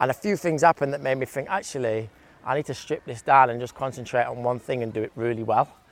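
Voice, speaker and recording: Here a man speaks with an English accent at a very fast pace. His pitch is medium, with ordinary variation. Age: 30s. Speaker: DJ and music producer. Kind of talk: casual chat. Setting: outdoors.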